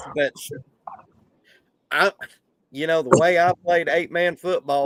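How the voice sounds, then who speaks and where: A man with a Southern US accent, high in pitch, fairly even in intonation and fairly slow, in a dry, close sound with no echo. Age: 50s. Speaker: sports podcast host. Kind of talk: casual chat. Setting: live stream.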